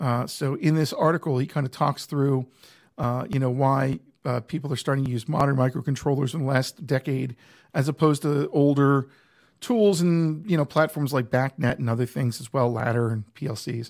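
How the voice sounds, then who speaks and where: A man speaks at a moderate pace in a plain, everyday voice, fairly high-pitched with ordinary pitch variation, on a very clean recording with a silent background. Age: 50s. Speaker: tech podcast co-host, technology consultant. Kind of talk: casual tech chat livestream. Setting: live stream studio setup.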